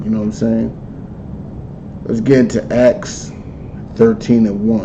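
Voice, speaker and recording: Over noticeable background noise and audible room echo, a man speaks very slowly at a medium pitch with ordinary pitch variation. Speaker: religious teacher. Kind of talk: lecture. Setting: livestream.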